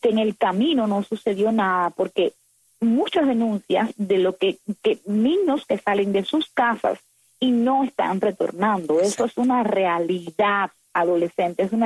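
A woman's plain, everyday voice at a medium pitch, fairly slow pace, and lively intonation. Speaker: activist. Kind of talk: interview.

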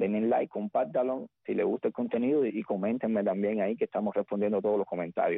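Hardly any pauses break up the very fast flow of speech. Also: man, very even loudness. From Cuba, rural Havana province. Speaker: singer. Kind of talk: radio interview.

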